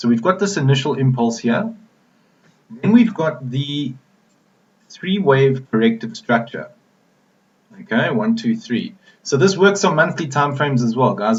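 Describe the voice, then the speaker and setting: A somewhat breathy man at a moderate pace, fairly high in pitch, with very wide pitch swings. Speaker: forex trader. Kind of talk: tutorial. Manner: casual, with frequent fillers.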